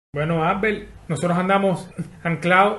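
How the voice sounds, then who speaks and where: Audible room echo surrounds a man speaking in a Cuban accent. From Havana, Cuba. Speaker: podcaster. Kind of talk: casual interview chat.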